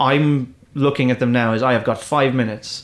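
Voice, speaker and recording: This man speaks at a moderate pace in an Irish accent, his medium pitch moving with ordinary variation. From Ireland. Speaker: comedian. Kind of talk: casual chat. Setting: studio. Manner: halting.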